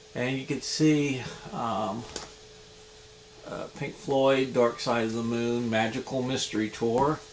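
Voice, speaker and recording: A man at a medium pitch, very slow and fairly even, with long, frequent pauses and noticeable background noise. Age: 50s. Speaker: vinyl record collector vlogger. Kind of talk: casual show-and-tell video. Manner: halting, many fillers.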